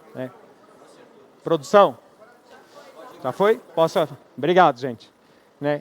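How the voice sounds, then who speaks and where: The pace of speech is moderate. The sound is dry and close, with no echo. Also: man. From Brazil, Rio de Janeiro. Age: 40s. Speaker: equipment company manager, conference speaker. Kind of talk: conference talk. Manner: conversational, filler-heavy (né, é).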